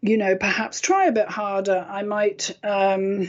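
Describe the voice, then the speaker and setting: A woman speaks with a British accent. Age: 50s. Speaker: internet radio host and intuitive healer. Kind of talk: sales pitch; casual radio talk show monologue.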